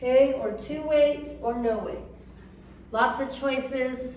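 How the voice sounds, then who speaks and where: Fairly slow and high-pitched, a woman talks with fairly even intonation. The recording carries noticeable background noise and audible room echo. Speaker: fitness instructor. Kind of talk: exercise class instruction.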